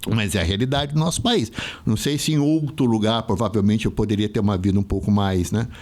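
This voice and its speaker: With lively intonation and a fairly quick pace, a man talks in a fairly low pitch using an ordinary speaking voice. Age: 60s. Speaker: theatre artist. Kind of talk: casual chat.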